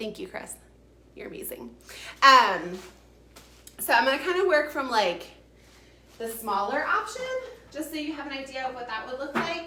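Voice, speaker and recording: Her voice is raised and projected, high for a woman, with very wide pitch swings and an animated tone. Noticeable background noise and audible room echo surround the woman. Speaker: furniture painter and realtor. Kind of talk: live-streamed tutorial. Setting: live video stream. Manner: fast.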